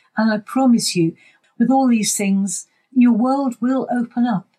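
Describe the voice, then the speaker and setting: A woman with a British accent, high in pitch and dark and mellow in tone, fairly slow, with ordinary pitch variation and a dry, close sound free of echo. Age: 80s. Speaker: community volunteer and radio presenter. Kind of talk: casual interview.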